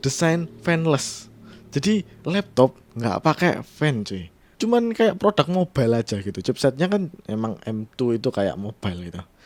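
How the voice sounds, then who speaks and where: A man with a strong Javanese accent speaks at a fairly slow pace with very wide pitch swings. The sound is dry and close, with no echo. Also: medium pitch for a man. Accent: thick Javanese-accented Indonesian. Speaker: tech podcaster / YouTuber. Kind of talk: casual solo podcast commentary. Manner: casual, with fillers and restarts.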